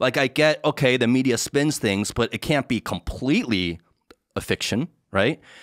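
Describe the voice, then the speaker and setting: Against a quiet background, a man with an American accent talks at a moderate pace and very even loudness, the sound dry with no echo. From United States. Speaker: podcast host. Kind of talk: casual interview conversation. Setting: studio. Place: home room. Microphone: studio mic.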